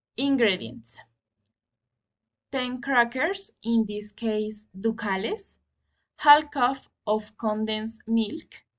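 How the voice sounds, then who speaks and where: Between long, frequent pauses, a woman talks at a very slow pace with a somewhat breathy, fairly high voice. Her pitch varies in an ordinary way over a quiet background. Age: 20s. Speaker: student. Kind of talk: class assignment presentation. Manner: halting.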